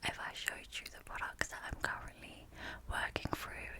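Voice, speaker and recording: Amid noticeable background noise, a woman whispers in a soothing tone. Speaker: ASMR creator. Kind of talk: ASMR product review. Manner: soft-spoken.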